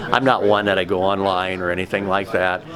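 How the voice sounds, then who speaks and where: Over noticeable background noise, a man with a Midwestern US accent speaks fairly quickly in a very deep, low voice with fairly even intonation. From Indiana. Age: 70s. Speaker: toy tractor collector. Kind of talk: interview.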